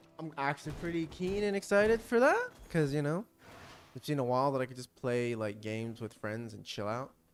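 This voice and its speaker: A man speaks at a fairly quick pace in a fairly high pitch, with an animated tone, very wide pitch swings and big swings in loudness. Music plays in the background. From Australia. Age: 20s. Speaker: gaming streamer. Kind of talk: casual gameplay commentary.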